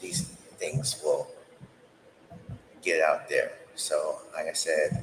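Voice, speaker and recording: A man with a New York accent, an extremely high pitch and a very slow pace. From Harlem, New York City. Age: 40s. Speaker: stand-up comedian. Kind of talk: casual podcast talk. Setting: home recording. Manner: blunt, cynical.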